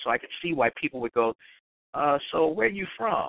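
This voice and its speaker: A man talks at a moderate pace. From Chicago South Side. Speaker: radio host. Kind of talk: casual chat. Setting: radio show.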